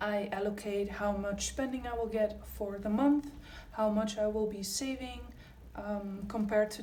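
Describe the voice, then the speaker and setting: A woman's medium-pitched voice with fairly even intonation, audible room echo, and noticeable background noise. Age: 20s. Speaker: budgeting youtuber. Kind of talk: casual tutorial vlog. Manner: casual with frequent fillers.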